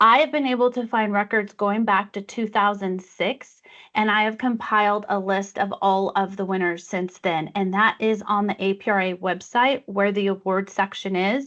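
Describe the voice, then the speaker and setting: At a medium pitch, a woman speaks in an ordinary speaking voice with fairly even intonation. She keeps a moderate pace with hardly any pauses. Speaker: awards committee chair presenting a workshop. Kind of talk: online workshop presentation. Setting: video call.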